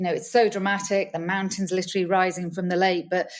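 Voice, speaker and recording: A woman's medium-pitched voice with a British accent, on a very clean recording with a silent background. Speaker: villa rental business owner. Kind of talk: podcast interview.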